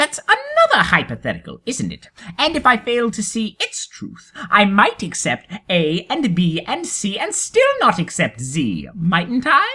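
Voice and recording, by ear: Using a put-on character voice, a woman speaks with few pauses in a bright, sharp tone that carries a slightly husky edge and very wide pitch swings. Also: medium pitch for a woman, fairly slow pace.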